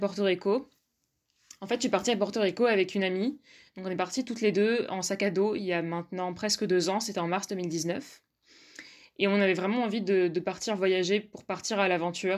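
Heard on a very clean recording with a silent background, an unremarkable speaking voice moves at a fairly quick pace with fairly even intonation. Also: woman. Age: 20s. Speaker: student. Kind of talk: personal storytelling.

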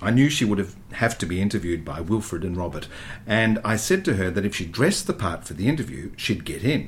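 This natural reading voice has intonation that rises and falls a lot.

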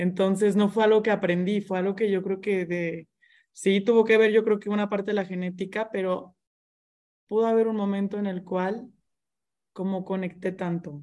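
A woman's medium-pitched, dark, mellow voice at a moderate pace, monotone and flat in intonation, against a quiet background. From Mexico, Monterrey. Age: 20s. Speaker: interior designer and business owner. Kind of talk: casual interview chat.

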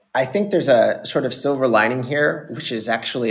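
The man has an ordinary speaking voice. He talks at a fairly quick pace with lively intonation. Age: 30s. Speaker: private equity fund founder and investor. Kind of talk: casual chat.

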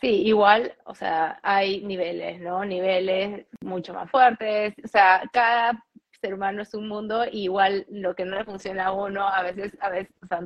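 A woman talks in an ordinary speaking voice with fairly even intonation. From Peru. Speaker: fashion and home organization content creator. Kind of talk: interview. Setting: live stream, remote connection.

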